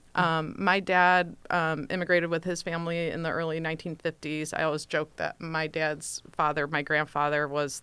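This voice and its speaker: Monotone, flat intonation runs through this fairly quick delivery with an American accent. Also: woman, hardly any pauses. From US Midwest, suburbs of Detroit, Michigan. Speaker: lawyer, nonprofit committee chair. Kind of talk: radio interview conversation. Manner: hesitant, many fillers.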